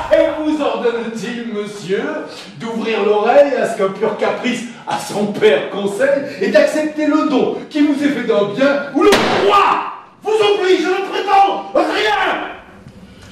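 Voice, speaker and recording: Amid loud background noise and audible room echo, a man talks very slowly. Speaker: stage actor. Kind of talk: theatrical monologue.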